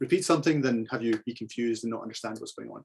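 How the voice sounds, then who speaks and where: A man's medium-pitched voice with a Scottish accent and ordinary pitch variation. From Scotland (central). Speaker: photographer giving club talk. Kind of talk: slideshow presentation.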